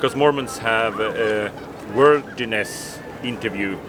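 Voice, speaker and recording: A man with a non-native accent speaks at a medium pitch with ordinary pitch variation over noticeable background noise. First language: not English. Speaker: ex-Jehovah's Witness video blogger. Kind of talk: street interview conversation. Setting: outdoors outside a convention in London. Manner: halting, with restarts.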